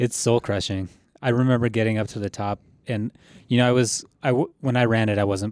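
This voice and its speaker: This is a man with an ordinary speaking voice. He talks at a fairly quick pace with fairly even intonation. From Colorado. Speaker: ultrarunner. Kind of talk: casual interview.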